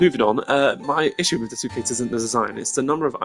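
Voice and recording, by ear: Over faint music in the background, a put-on character voice with a slightly husky edge moves at a fast pace, its pitch varying in an ordinary way. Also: woman, extremely low pitch for a woman.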